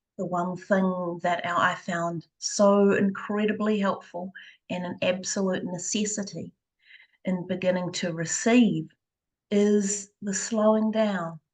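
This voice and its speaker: Soft-spoken and somewhat breathy, this voice moves at a very slow pace with a monotone, flat intonation. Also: woman, medium pitch for a woman. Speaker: energy healer; mother. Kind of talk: interview.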